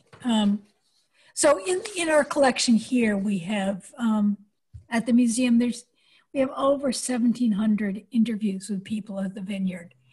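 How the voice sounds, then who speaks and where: A woman speaks at a fairly slow pace in a somewhat breathy voice, with ordinary pitch variation. Long pauses come often, over a quiet background. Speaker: oral historian. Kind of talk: oral history interview. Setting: video call. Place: home room. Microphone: video call.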